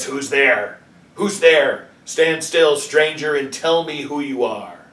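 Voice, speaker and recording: A man speaks at a fairly slow pace in a growling, put-on character voice with a fairly high pitch. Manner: menacing, threatening.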